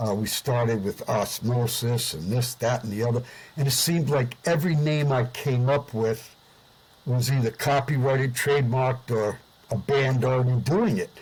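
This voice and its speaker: Somewhat breathy male voice with an American accent, ordinary pitch variation and a moderate pace. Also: medium pitch for a man. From US Northeast, Providence, Rhode Island. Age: 70s. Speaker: singer and musician, Vietnam veteran. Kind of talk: interview. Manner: hesitant with frequent fillers.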